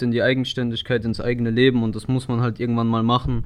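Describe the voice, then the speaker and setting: The speaker is a man with a medium pitch. He talks at a very fast pace. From Ludwigshafen, Palatinate, Germany. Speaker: vocational trainee. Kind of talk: personal narrative.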